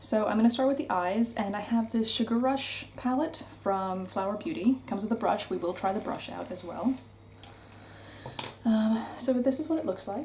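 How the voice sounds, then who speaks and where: A woman with a North American accent talks at a moderate pace, her pitch fairly high with ordinary variation. It is a plain, everyday voice. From United States. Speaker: beauty vlogger. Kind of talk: casual chat. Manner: casual, chatty with fillers.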